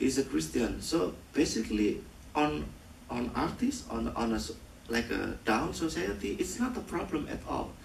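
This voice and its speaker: Speaking at a moderate pace with an Indonesian accent, a man is heard with audible room echo. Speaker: film director. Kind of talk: post-screening Q&A. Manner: halting.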